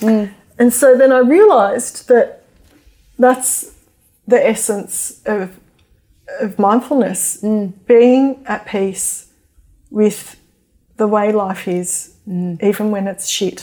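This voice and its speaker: With an Australian accent and a fairly high pitch, a woman speaks very slowly in a dark, mellow tone, with ordinary pitch variation and long, frequent pauses. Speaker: mindfulness teacher and author. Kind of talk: interview; guided meditation.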